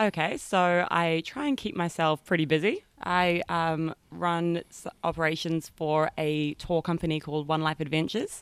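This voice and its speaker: In a New Zealand accent, a woman with a fairly low voice talks at a moderate pace with fairly even intonation, recorded with a dry, close sound and no echo. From New Zealand, rural North Island. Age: 20s. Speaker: tour company operations manager. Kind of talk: casual interview.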